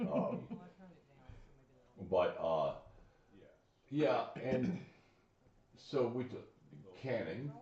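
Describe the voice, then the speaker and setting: Audible room echo surrounds a man talking at a very slow pace with long, frequent pauses. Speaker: show host. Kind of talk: casual chat.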